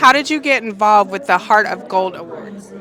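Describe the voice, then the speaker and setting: Over crowd noise in the background, a woman speaks with a fairly high pitch and ordinary pitch variation. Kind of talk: red carpet interviewer. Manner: upbeat, enthusiastic.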